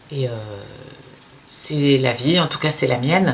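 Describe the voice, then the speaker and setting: The speaker goes at a fairly slow pace amid noticeable background noise. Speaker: sewing youtuber, former fashion designer. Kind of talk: casual podcast talk. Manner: halting, hesitant.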